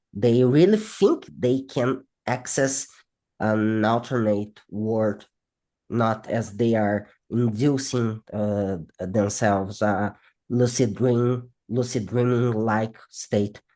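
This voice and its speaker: A man with a non-native accent speaks very slowly at a medium pitch, his tone dark and mellow. His intonation stays fairly even against a quiet background. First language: not English. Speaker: psychology researcher. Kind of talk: interview. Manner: halting.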